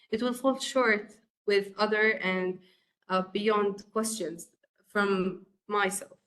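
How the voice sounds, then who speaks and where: Very slow and marked by long, frequent pauses, a woman's speech has an Arabic accent, very even loudness and fairly even intonation. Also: medium pitch for a woman. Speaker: course instructor. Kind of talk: lecture. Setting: webcast. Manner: halting, many fillers.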